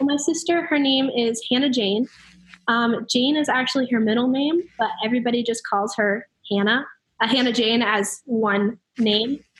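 A woman with an ordinary speaking voice and ordinary pitch variation. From US Northeast (New Hampshire). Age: young. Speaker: college student. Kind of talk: interview. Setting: remote call from dorm lounge.

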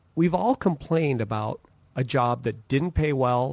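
A man's plain, everyday voice of medium pitch with lively intonation. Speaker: podcast co-host. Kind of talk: casual chat.

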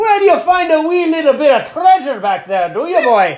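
A man puts on a character voice with an extremely high pitch. He moves at a moderate pace. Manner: cheeky, teasing.

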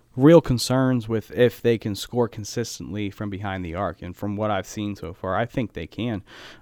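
With an American accent and a plain, everyday voice, a man speaks at a fairly low pitch and moderate pace with fairly even intonation, sounding dry and close with no echo in a very clean recording with a silent background. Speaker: sports reporter and assistant basketball coach. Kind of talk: casual chat. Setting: studio.

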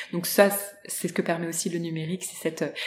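The intonation is monotone and flat. Background noise is noticeable. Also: woman. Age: 40s. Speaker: social entrepreneur, founder of a start-up. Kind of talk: interview. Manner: halting, many hesitations.

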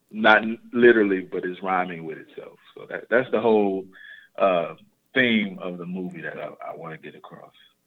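With an American accent, this speaker keeps a moderate pace while the loudness swings widely. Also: man. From South Side Chicago. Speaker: filmmaker. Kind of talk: interview.

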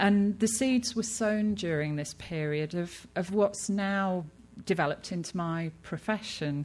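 In a very clean recording with a silent background, a woman with a British accent speaks at a fairly slow pace in a fairly low pitch, with ordinary pitch variation. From Britain. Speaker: textile researcher and anthropologist. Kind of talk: lecture. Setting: stage with audience. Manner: hesitant, many fillers.

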